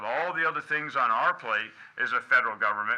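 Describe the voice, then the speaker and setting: Speaking with an American accent, a man moves at a fairly quick pace with ordinary pitch variation. Noticeable noise sits in the background. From New England. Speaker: army general, chief of engineers. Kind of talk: speech at public meeting. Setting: public meeting room with audience. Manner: fast; animated.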